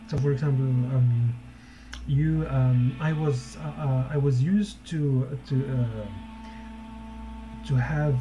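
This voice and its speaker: Over noticeable background noise, a man with a non-native accent and a medium pitch talks at a very slow pace with lively intonation. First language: not English. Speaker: social media marketing coach, former teacher. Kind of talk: casual live-stream talk. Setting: live stream. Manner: halting, many repetitions and fillers.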